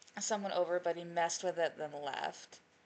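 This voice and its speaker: A soft-spoken woman at a moderate pace. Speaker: streamer reading a novel aloud. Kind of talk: casual chat with stream viewers. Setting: live stream. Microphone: quiet level.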